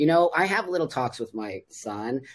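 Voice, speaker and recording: With an American accent, the voice moves through very wide pitch swings. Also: man. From Los Angeles, California (San Fernando Valley). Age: 60s. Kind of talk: casual podcast interview.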